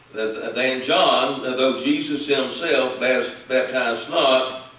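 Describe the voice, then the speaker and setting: Audible room echo follows a man who speaks at a very slow pace in a medium pitch. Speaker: Baptist preacher. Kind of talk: scripture reading. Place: church.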